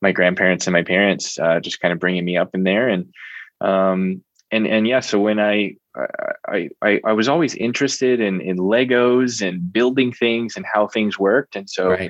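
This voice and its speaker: A man talks at a moderate pace with ordinary pitch variation. He has a normal speaking voice. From US Northeast, Reading, Pennsylvania. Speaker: entrepreneur. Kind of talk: interview. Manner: frequent filler words (um).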